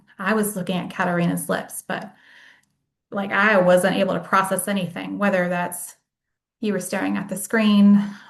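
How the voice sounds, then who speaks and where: A woman with a medium-pitched, somewhat breathy voice and an American accent speaks at a moderate pace in a flat monotone, with audible room echo. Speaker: case manager and workshop presenter. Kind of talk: lecture.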